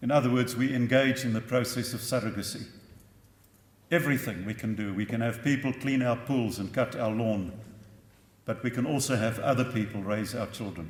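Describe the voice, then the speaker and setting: The speech is somewhat breathy, with fairly even intonation and a fairly quick pace. Audible echo fills the room. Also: man, medium pitch for a man. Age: 60s. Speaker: professor. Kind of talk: conference talk.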